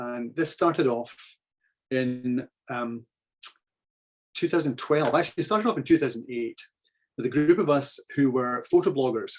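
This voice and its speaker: A man with a Scottish accent, a fairly high pitch, ordinary pitch variation, a moderate pace and long, frequent pauses. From Scotland (central). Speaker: photographer giving club talk. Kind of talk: slideshow presentation.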